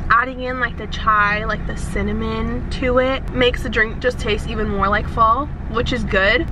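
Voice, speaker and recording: The speaker is a woman, and the sound is dry with no echo. Noticeable background noise sits behind her. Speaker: lifestyle vlogger. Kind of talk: casual vlog chat, food review. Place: car. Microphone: phone near.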